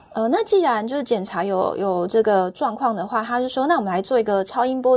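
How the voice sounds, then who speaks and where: Fairly quick and lively, a woman talks with a Taiwanese accent. Her pitch sits fairly high. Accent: Taiwanese Mandarin. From Taiwan, Taichung. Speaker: cancer patient sharing her story. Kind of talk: personal testimony in interview. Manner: halting, repeats words.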